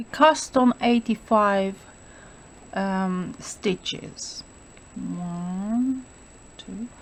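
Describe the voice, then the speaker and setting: With a non-native accent, a woman speaks somewhat breathily at a very slow pace, leaving long, frequent pauses. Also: fairly high pitch for a woman, ordinary pitch variation. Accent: foreign. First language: not English. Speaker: knitting instructor. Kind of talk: tutorial. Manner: hesitant, many fillers.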